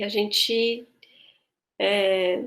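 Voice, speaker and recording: A woman talks with fairly even intonation. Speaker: voice and choir teacher. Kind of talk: online tutorial. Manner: halting.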